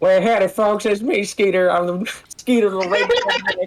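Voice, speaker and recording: A put-on character voice at a fairly high pitch and moderate pace. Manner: friendly.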